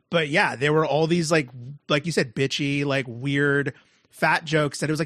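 A man has an ordinary speaking voice at a fairly high pitch. He talks at a moderate pace. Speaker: podcast co-host. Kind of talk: casual chat.

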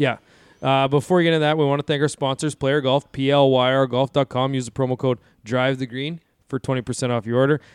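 Speaking very fast, a man with a medium pitch keeps his intonation monotone and flat. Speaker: podcast host. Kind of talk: casual podcast chat. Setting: studio.

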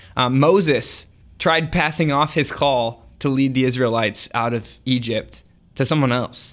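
At a fairly slow pace, a man uses a normal speaking voice of medium pitch with ordinary pitch variation, captured in a very clean recording with a silent background. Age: 20s. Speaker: podcast co-host. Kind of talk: casual chat.

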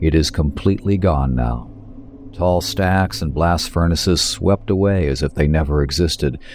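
Over noticeable background noise, a man speaks in a very deep, low pitch with ordinary pitch variation. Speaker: author reading own story. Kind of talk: horror audiobook narration, first-person. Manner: hushed, measured, coldly clinical and menacing.

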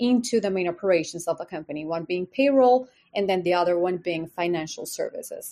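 Woman with a Spanish accent, at a fairly quick pace, against a quiet background. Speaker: company legal executive, lawyer. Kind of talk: casual interview.

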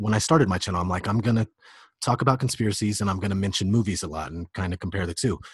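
Against a quiet background, a man talks at a very fast pace in a somewhat breathy voice with ordinary pitch variation. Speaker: conspiracy video creator and rapper. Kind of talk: casual chat.

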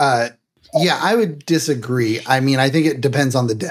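At a moderate pace, a man talks in an unremarkable speaking voice, his pitch varying in an ordinary way. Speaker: streamer and game player. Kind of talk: casual chat.

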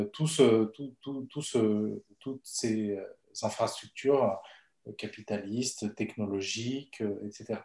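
Pitch varies in an ordinary way as a man speaks with a dark, mellow tone. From Bolivia. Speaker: economist and researcher, management school lecturer. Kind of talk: casual interview.

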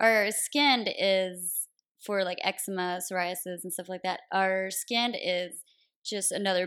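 In an ordinary speaking voice with an American accent, a woman talks at a moderate pace and a fairly low pitch. The recording is very clean, with a silent background. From US South, Tennessee (near Nashville). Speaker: naturopathic doctor. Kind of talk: interview, explaining health topics.

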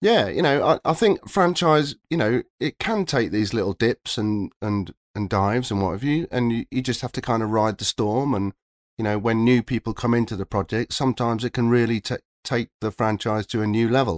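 Recorded very cleanly against a silent background with a dry, close sound and no echo, a man with a normal speaking voice talks at a moderate pace, his medium pitch showing ordinary variation. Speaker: video game composer. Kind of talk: casual interview chat.

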